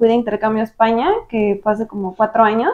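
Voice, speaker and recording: This woman has a fairly high pitch. She talks at a fairly quick pace. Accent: Mexican. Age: 20s. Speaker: marketer. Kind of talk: interview.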